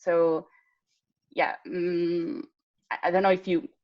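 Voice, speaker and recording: A woman with an Italian accent at a moderate pace. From Italy. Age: 20s. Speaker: patient advocate. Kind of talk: casual chat. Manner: halting.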